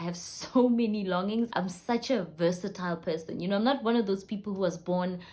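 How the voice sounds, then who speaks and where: In a South African accent, a woman speaks with a dark, mellow tone and a somewhat breathy quality. Her pitch is medium, with ordinary variation. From South Africa, Limpopo. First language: Sepedi (Northern Sotho). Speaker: vlogger, entrepreneur. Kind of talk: personal vlog introduction. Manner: chatty, conversational.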